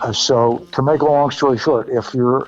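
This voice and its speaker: With music in the background, a man talks at a moderate pace using fairly even intonation. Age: 80s+. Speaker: former radio DJ and record promoter. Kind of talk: casual interview. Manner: halting.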